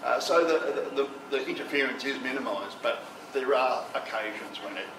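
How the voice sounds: A man's voice, its pitch varying in an ordinary way, comes with audible room echo. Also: medium pitch for a man, moderate pace.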